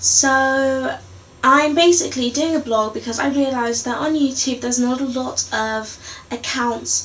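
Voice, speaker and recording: A woman speaks in a high pitch with fairly even intonation at a fairly slow pace. Noticeable background noise runs under her voice. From London. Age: 20s. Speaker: vlogger. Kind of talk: casual video blog. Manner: hesitant, many fillers.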